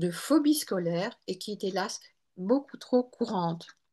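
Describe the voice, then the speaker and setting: A woman's medium-pitched, ordinary speaking voice at a fairly slow pace, against a quiet background. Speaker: Bach flower practitioner and author. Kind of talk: webinar lecture. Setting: online webinar.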